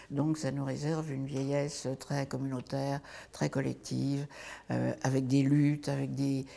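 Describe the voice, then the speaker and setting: A woman's very deep, low voice with a dark, mellow tone, at a fairly slow pace on a very clean recording with a silent background. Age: 80s+. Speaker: activist, founder of a senior women's housing project. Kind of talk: interview monologue. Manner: halting, many hesitations.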